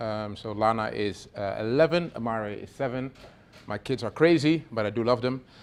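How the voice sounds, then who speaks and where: With a Dutch accent, a man is speaking. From Netherlands. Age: 40s. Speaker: venture capital investor. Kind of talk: workshop talk. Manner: casual, filler-heavy.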